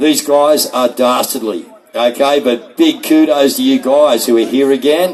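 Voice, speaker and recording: This is a man with an Australian accent. His pitch sits fairly high. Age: 60s. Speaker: rally speaker. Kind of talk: rally speech. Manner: loud.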